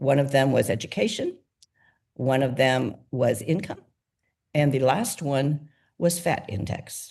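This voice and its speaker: A woman's very deep, low-pitched voice, somewhat breathy, with a dark, mellow tone. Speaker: nonprofit founder. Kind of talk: interview. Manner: fast.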